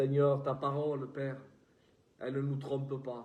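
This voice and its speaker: In a southern French accent, a man speaks at a very slow pace with a fairly high pitch and a dark, mellow tone, amid audible room echo. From southern France. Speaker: preacher. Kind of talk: prayer; sermon.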